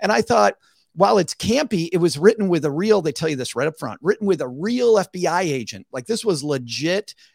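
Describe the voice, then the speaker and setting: Very wide pitch swings run through this voice with an American accent. The sound is dry and close with no echo, on a very clean recording with a silent background. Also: man. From US Midwest. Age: 50s. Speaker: finance podcast host and author. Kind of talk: casual chat.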